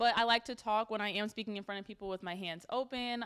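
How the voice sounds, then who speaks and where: In a very clean recording with a silent background, a woman speaks very fast at a medium pitch with ordinary pitch variation. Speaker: workshop presenter. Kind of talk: workshop talk to students.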